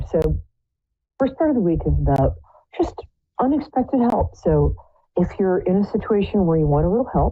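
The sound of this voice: A hoarse, put-on character voice moves at a fairly quick pace between long, frequent pauses, with music in the background. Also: woman, medium pitch for a woman.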